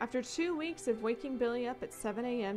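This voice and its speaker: Music plays in the background as a woman speaks with lively intonation. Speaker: story narrator. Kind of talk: story reading.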